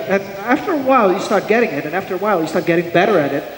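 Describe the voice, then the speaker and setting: At a very fast pace, a man speaks with lively intonation and a high pitch for a man. Noticeable background noise and audible room echo fill the recording. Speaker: software architect and conference speaker. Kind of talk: conference talk.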